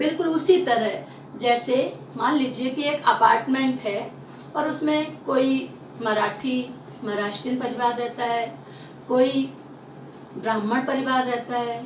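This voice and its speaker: A woman with a Bundelkhand accent speaks at a high pitch with fairly even intonation, with audible room echo and noticeable background noise. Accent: Bundelkhandi Hindi. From Bundelkhand, central India. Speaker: Hindi teacher. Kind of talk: lecture.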